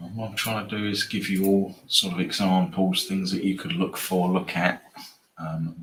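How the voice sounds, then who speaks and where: Over noticeable background noise, a man with a very deep, low pitch speaks at a moderate pace with ordinary pitch variation. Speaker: sports betting trader. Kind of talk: live stream tutorial. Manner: hesitant, many fillers.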